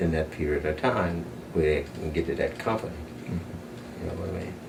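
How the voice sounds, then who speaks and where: A man with a Southern US accent at a moderate pace. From South Carolina. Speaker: retired factory supervisor. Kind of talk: oral history interview answer.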